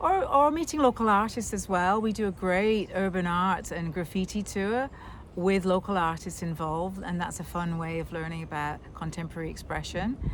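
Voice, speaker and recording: A woman with a Scottish accent speaks at a medium pitch and moderate pace, with ordinary pitch variation and hardly any pauses. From Scotland. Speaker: tour guide. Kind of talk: interview answer.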